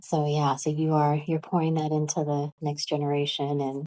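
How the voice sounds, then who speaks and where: A woman speaks in a calm, monotone delivery, her very deep, low voice dark and mellow with flat intonation. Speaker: podcast host. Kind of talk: interview.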